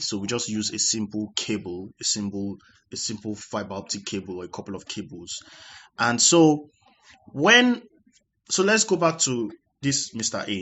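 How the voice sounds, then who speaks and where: A man speaks in an unremarkable speaking voice, fairly low in pitch with ordinary pitch variation. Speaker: tech explainer. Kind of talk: tutorial.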